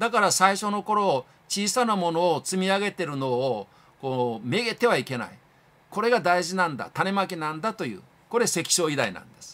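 This man's high voice has a bright, sharp tone and lively intonation. He keeps a moderate pace while his loudness swings widely. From Japan. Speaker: YouTube channel host. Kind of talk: lecture-style monologue. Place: home room. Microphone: phone near.

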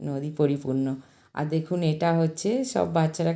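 This woman has a very deep, low pitch and a dark, mellow tone with a West Bengal accent. Her pitch variation is ordinary. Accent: West Bengal Bengali. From West Bengal, Taki (North 24 Parganas). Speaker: travel vlogger. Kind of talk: vlog narration. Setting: outdoors.

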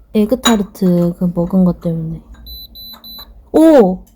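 At a fairly slow pace, a woman speaks in an animated tone at medium pitch. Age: 30s. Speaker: vlogger. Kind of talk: casual chat.

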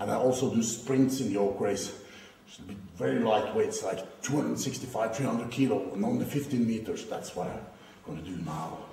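A man speaks with lively intonation at a moderate pace. There is audible room echo and light background noise. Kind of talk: casual explanation to camera. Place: gym. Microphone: phone near.

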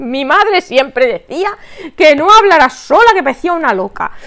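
Against a quiet background, a woman with a high voice speaks at a fairly slow pace, her pitch swinging very widely. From Spain. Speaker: crochet teacher and shop owner; crochet livestream host. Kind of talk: live crochet tutorial with chat. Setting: live stream from home. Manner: animated. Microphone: webcam.

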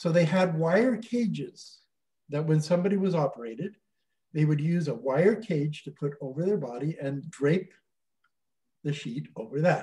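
A man's dark, mellow voice, fairly high in pitch, with lively intonation and long, frequent pauses. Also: moderate pace, quiet background. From United States. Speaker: astrologer; guest. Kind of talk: interview. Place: home room. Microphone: video call.

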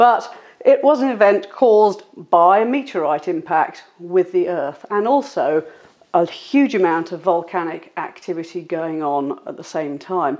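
A woman speaks at a fairly slow pace with lively intonation and big swings in loudness. The background is quiet. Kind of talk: explanatory interview answer.

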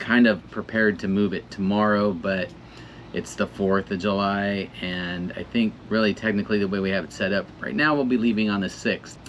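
Over light background noise, a man with an unremarkable speaking voice talks at a moderate pace, his fairly low pitch carried on fairly even intonation. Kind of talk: casual vlog chat. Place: boat.

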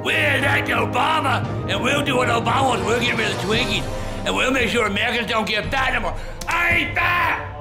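Moderately paced male speech over clear background music. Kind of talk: angry comedic rant. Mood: furious, comic tantrum. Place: kitchen.

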